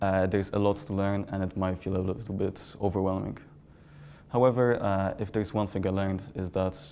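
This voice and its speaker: A man with a Polish accent, fairly low in pitch, with a dark, mellow tone and a flat, monotone intonation. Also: fairly quick pace. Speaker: interviewee. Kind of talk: interview.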